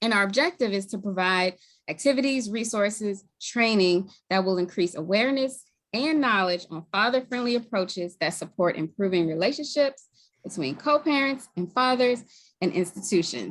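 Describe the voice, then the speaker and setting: A woman speaks with a slight Baltimore accent at a moderate pace. Her medium-pitched voice has lively intonation. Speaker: community group co-lead. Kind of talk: formal webinar introduction.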